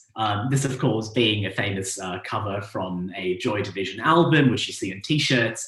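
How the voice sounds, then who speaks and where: The man talks at a moderate pace with an Australian accent and a fairly low pitch. Audible room echo surrounds his voice. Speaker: astronomer. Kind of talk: public lecture. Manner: hesitant, many fillers.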